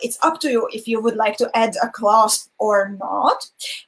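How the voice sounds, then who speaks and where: In a non-native accent, a woman speaks with a fairly high pitch. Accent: non-native English, weird pronunciation. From Hungarian minority in Slovakia. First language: Hungarian. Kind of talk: live-streamed craft tutorial.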